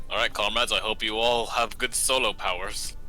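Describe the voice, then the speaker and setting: A man uses a put-on character voice at a fairly quick pace. Clear background noise runs behind him. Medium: actual play.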